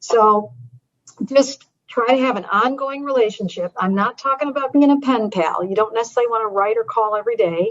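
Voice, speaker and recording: This woman has an ordinary speaking voice, fairly high in pitch with ordinary pitch variation, and she talks at a fairly quick pace. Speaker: advocacy educator. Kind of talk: training webinar.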